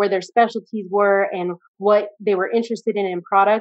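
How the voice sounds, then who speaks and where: A woman with an American accent talks at a moderate pace in a normal speaking voice, her pitch medium. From US. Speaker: audience member, entrepreneur. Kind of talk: live Q&A. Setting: video call.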